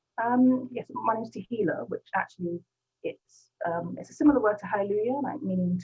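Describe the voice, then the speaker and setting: A woman with a British accent speaks at medium pitch with lively intonation. Her loudness swings widely. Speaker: gospel rapper. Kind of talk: interview. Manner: fast.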